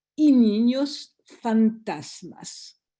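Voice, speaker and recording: A woman's fairly high, somewhat breathy voice with a dark, mellow tone and a French accent, over a quiet background. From France. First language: French (speaking Spanish). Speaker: lawyer. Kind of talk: conference talk. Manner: halting.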